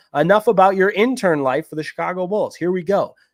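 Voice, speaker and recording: A man with a Midwestern accent, dry and close with no echo, in a very clean recording with a silent background. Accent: Midwest. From Michigan. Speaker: sports podcast host. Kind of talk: sports podcast recap. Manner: casual, conversational.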